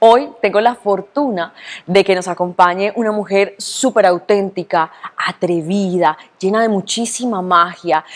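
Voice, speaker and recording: A woman talks with ordinary pitch variation. There is noticeable background noise. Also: medium pitch for a woman, fairly slow pace. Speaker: journalist. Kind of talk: interview host.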